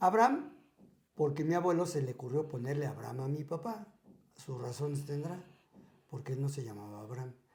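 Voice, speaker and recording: With a fairly high pitch and a somewhat breathy voice, a man talks at a fairly quick pace with lively intonation. His speech has long, frequent pauses. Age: 60s. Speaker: podcast guest sharing life stories. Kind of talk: casual interview.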